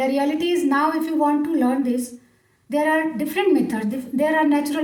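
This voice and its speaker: A woman's high-pitched voice in an Indian accent, with ordinary pitch variation and audible room echo. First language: Hindi. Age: 40s. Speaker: English speaking coach. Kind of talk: motivational talk to camera. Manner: hesitant with fillers.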